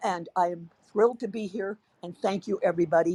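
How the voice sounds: Someone uses a natural reading voice, and its pitch varies in an ordinary way.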